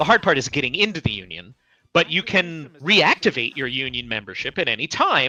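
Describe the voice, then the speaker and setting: Recorded very cleanly against a silent background, with a dry, close sound and no echo, the voice moves at a fairly quick pace through very wide pitch swings, with vocal fry. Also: man, fairly high pitch for a man. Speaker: voice actor and writer. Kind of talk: casual interview chat.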